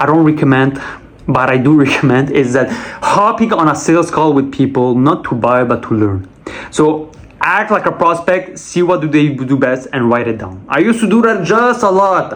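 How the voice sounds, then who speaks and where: Against noticeable background noise, a man talks at a moderate pace in a Quebec accent. His fairly high voice has lively intonation. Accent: Québécois French accent in English. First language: French. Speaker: sales rep and vlogger. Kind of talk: casual monologue vlog.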